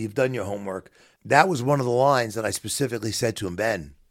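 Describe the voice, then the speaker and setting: Speaking at a fairly quick pace with lively intonation, a man with a strong New York accent is heard in a very clean recording with a silent background. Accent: heavy New York. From New York City, Queens. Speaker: bereaved father, business owner. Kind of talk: interview, personal testimony.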